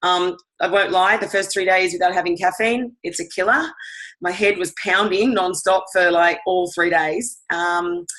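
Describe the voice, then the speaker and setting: A woman with an Australian accent speaks at a medium pitch. Her tone is bright and sharp, and her intonation is fairly even. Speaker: fitness instructor. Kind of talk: product testimony.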